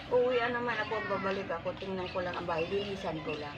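A woman's voice with lively intonation, audible room echo and noticeable background noise. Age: old. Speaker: elderly former caregiver living alone. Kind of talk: casual chat.

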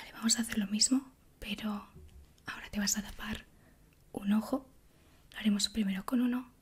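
A woman speaks at a moderate pace in a somewhat breathy voice with monotone, flat intonation. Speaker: ASMR creator. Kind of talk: ASMR roleplay, medical exam. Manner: soft-spoken, whispering. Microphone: studio mic.

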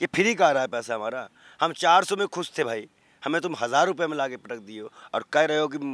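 This man talks at a fairly quick pace, his pitch fairly high with lively intonation. His loudness swings widely, and the sound is dry with no echo. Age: 20s. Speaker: ascetic and civil-services aspirant. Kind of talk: street interview, political rant. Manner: animated. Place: open country. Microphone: handheld.

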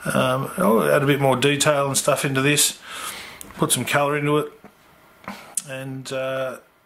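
A man with vocal fry speaks at a medium pitch, a fairly slow pace and fairly even intonation, leaving long, frequent pauses. His tone is fairly bright, and the room echo is audible.

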